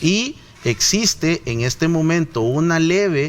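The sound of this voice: Speaking slowly, a man with a fairly high pitch keeps his intonation lively.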